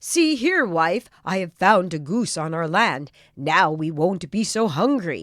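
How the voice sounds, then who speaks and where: In a put-on character voice, a woman talks at a fairly slow pace with a medium pitch and lively intonation. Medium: read story.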